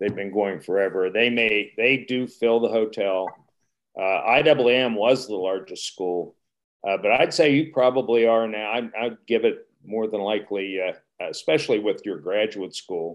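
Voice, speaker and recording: Speaking fairly slowly with an American accent, this man has an unremarkable speaking voice at a medium pitch with ordinary pitch variation. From Wheeling, West Virginia. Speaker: retired resort executive. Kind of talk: panel discussion.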